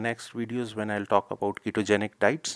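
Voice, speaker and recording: Recorded very cleanly against a silent background with a dry, close sound and no echo, a man speaks at a medium pitch with a non-native accent. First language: not English. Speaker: health video creator. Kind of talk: informal educational talk. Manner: hesitant, with fillers and self-corrections.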